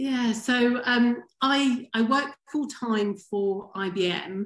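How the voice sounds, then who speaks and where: A woman's high voice with a strong English accent, very slow delivery and ordinary pitch variation. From England, Wimbledon near London. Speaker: former pro tennis player. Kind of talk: podcast interview.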